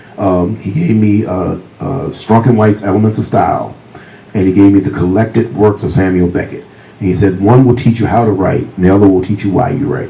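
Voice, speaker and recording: A fairly quick man with a fairly low pitch and an American accent, ordinary pitch variation, audible room echo and noticeable background noise. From US South, Virginia. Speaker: crime novelist. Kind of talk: author talk with storytelling. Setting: stage with audience.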